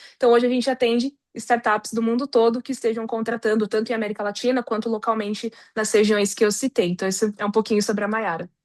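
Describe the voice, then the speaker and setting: Speaking very fast with fairly even intonation, a woman with a fairly high pitch sounds dry and close with no echo against a quiet background. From Brazil, São Paulo. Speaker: recruitment consultant, psychologist. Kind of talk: interview.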